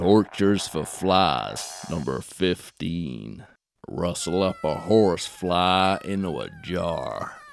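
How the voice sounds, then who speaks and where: Putting on a character voice in a Texan accent, a man speaks very slowly, raspy and very deep and low in pitch. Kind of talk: comedic instructional narration. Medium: cartoon.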